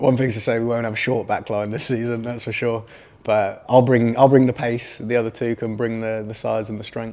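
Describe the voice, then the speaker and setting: Speaking with an English accent at a fairly quick pace, a man keeps a medium pitch and monotone, flat intonation. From English Midlands, Solihull. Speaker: professional footballer. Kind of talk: interview. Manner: casual, hesitant with fillers.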